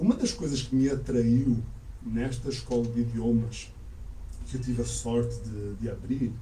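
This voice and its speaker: There is audible room echo around this man's voice. He speaks with a European Portuguese accent at a fairly slow pace. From Portugal (Azores heritage), born in Canada. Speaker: language school owner, teacher. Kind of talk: interview. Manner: calm, measured.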